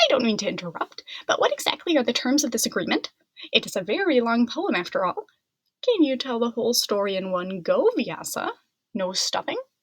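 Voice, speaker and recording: A woman's put-on character voice, squeaky and high-pitched, at a fairly quick pace. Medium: read story.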